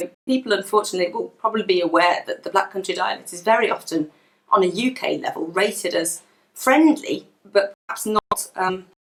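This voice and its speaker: A woman with a plain, everyday voice talks at a fairly quick pace and a medium pitch, with ordinary pitch variation and big swings in loudness. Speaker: dialectologist, university lecturer. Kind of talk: educational talk.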